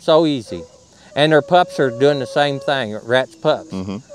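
A man with an American accent, fairly high pitch and ordinary pitch variation, at a moderate pace, in a dry recording with no echo and light background noise. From Indiana. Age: 60s. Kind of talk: casual interview. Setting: outdoors at a hound event. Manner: halting, repeats words. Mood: relaxed, reflective, folksy. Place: open country. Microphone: lapel.

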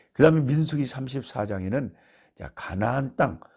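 A somewhat breathy man's voice with a dark, mellow tone and lively intonation, at a fairly slow pace on a very clean recording with a silent background. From South Korea, Jeolla (Beolgyo). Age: 60s. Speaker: missionary, Bible teacher. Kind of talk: Bible teaching talk. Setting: recording at his rural family home.

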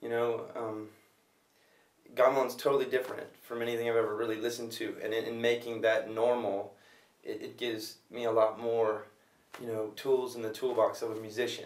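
A man speaks in a monotone, flat intonation at a fairly quick pace. Audible room echo surrounds his voice. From US, Los Angeles; California. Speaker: music producer and gamelan player. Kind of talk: interview. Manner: halting, with repeated words.

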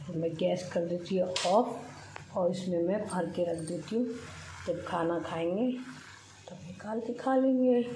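A woman speaks at a very slow pace with ordinary pitch variation. Audible room echo and light background noise surround her voice. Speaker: home vlogger. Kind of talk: casual vlog chat. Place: kitchen. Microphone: phone near.

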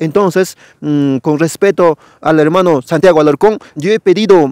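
Here a man speaks with a fairly high pitch, ordinary pitch variation and a moderate pace. The background is quiet and the sound is dry with no echo. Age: young. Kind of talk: channel outro address; interview with commentary. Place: forest. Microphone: lapel.

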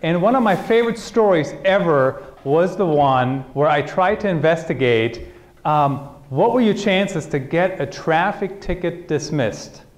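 A man with lively intonation at a moderate pace. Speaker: conference keynote speaker. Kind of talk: lecture. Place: hall.

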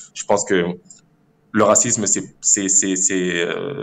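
A man is speaking. His pace is fairly slow. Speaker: caller. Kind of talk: call-in discussion.

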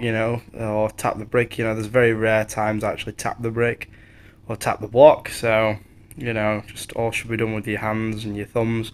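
The speaker is a man. He talks in a flat, monotone way. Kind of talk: casual vlog chat while working. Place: street. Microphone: phone near.

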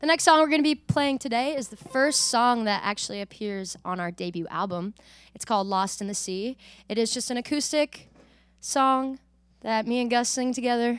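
The speaker uses lively intonation at a moderate pace, and the sound is dry with no echo. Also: woman, high pitch for a woman. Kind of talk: song introduction between songs. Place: studio. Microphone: studio mic.

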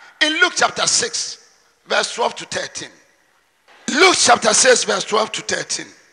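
A man speaks at a fairly slow pace with an animated tone and lively intonation. Long, frequent pauses come often, and the background is quiet. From Ghana. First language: Twi. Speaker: preacher. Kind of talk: sermon, mixing Twi and English, with prayer and scripture reading. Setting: church with congregation. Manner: animated, forceful preaching with call-and-response. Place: church. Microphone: handheld.

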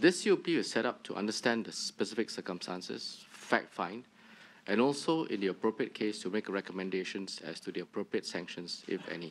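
A fairly quick, fairly low-pitched male voice. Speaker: witness. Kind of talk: formal hearing remarks. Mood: calm, formal, measured. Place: hall. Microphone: podium.

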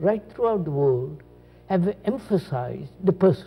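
Male speech at a very slow pace with music in the background. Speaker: spiritual teacher in conversation. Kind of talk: reflective conversation, philosophical talk. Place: studio. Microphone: lapel.

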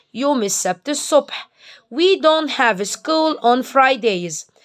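The pace is fairly slow, with lively intonation. The background is quiet. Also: woman. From Egypt. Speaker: English teacher. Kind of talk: tutorial. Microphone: phone near.

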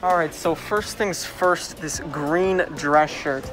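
A man speaks at a fairly slow pace with ordinary pitch variation. Clear music plays in the background. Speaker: costume maker vlogger. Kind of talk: casual vlog chat. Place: shop.

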